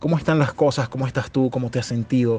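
Pitched in the middle range, a man's voice holds a fairly even intonation. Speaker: podcast host. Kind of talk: casual chat.

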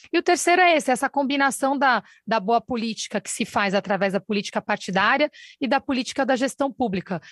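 A woman talks at a fairly quick pace in a high pitch with lively intonation. The sound is dry and close with no echo, over a quiet background. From Brazil, São Paulo (Campo Limpo). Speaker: state government secretary. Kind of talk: radio interview. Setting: live broadcast.

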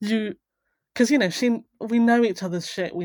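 A woman talks at a moderate pace with ordinary pitch variation, recorded very cleanly against a silent background. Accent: southern English. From southern England, rural Buckinghamshire. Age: 30s. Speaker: venture capital investor. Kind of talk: casual chat.

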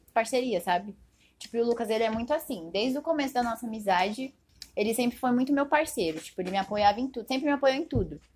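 With a plain, everyday voice, a woman speaks at a fairly high pitch using lively intonation. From Brazil, Diadema (São Paulo region). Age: 20s. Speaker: fashion business graduate, clothing brand owner. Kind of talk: casual chat.

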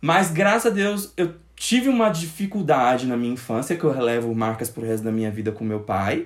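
The pitch swings very widely at a fairly quick pace. The recording is very clean, with a silent background. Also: man. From Brazil, Goiás interior (born in Brasília). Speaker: podcast host. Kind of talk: casual chat.

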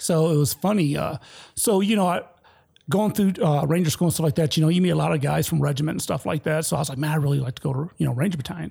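A man with an American accent speaks in a dark, mellow, somewhat breathy tone. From Detroit, Michigan. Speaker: military veteran. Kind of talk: casual chat.

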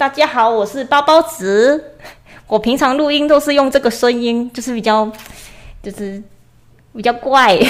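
A moderate pace broken by long, frequent pauses, with ordinary pitch variation. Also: woman, high pitch for a woman. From Chiayi, southern Taiwan. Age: 20s. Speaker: illustrator and short-video creator. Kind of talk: casual chat. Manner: soft-spoken.

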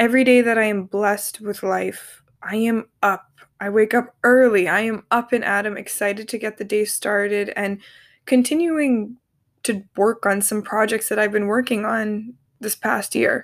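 Here is a plain, everyday voice from a woman at a fairly high pitch. She keeps a moderate pace and fairly even intonation. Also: very clean recording, silent background. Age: 20s. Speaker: podcast host. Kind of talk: personal monologue.

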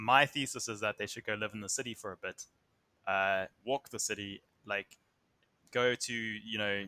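A man's fairly low, bright, sharp voice at a moderate pace, with fairly even intonation, a dry, close sound with no echo, and a very clean recording with a silent background. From South Africa, Somerset West near Cape Town. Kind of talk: casual chat. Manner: halting.

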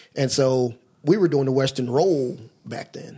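A man speaks with an American accent at medium pitch and a moderate pace. His tone is dark and mellow. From Philadelphia and New Jersey, US. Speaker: track coach. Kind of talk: casual chat.

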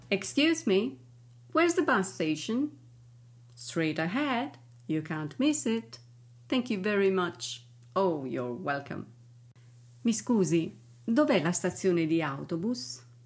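Speaking at a very slow pace with long, frequent pauses, a woman's somewhat breathy voice rises and falls in very wide pitch swings on a very clean recording with a silent background. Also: fairly low pitch for a woman. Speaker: English teacher. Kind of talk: language lesson.

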